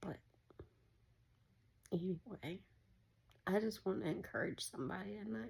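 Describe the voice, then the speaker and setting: At a moderate pace, a woman with a fairly low voice and vocal fry makes very wide pitch swings and leaves long, frequent pauses. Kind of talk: casual spiritual encouragement talk. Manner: casual, conversational.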